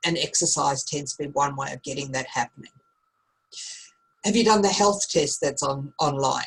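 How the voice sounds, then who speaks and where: A woman's very deep, low, somewhat breathy voice in an Australian accent, at a moderate pace with ordinary pitch variation and long, frequent pauses. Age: 50s. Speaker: teacher. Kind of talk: online class. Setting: video call.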